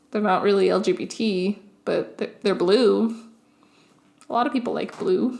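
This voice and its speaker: Pausing long and often, a woman speaks at a moderate pace with ordinary pitch variation. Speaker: YouTuber. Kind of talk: casual vlog monologue.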